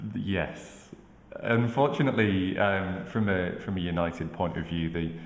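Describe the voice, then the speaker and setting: A man with a Manchester accent and a very deep, low pitch, with audible room echo and noticeable background noise. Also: ordinary pitch variation, moderate pace. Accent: Manchester twang. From northern England, Manchester. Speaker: football pundit. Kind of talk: casual chat.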